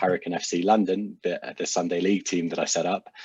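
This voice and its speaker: A man's very deep, low pitch comes through in monotone, flat intonation with a dry, close sound and no echo. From UK. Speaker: social enterprise founder. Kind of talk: casual chat.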